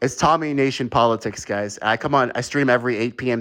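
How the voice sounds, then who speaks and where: Talking at a fairly quick pace, a man uses a normal speaking voice. His pitch is medium, with ordinary pitch variation. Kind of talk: heated debate. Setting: live online call-in show.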